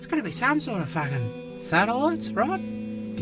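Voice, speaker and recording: Music runs in the background while a man talks at a moderate pace. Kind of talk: crude slang. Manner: loud, swears constantly.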